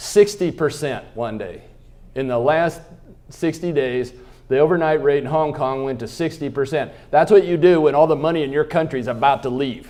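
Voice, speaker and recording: In an American accent, a man with a fairly high pitch talks at a moderate pace, his tone animated and his pitch variation ordinary. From Kansas. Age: 60s. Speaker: economist, keynote speaker. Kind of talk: keynote speech. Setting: luncheon stage with audience. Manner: animated, humorous.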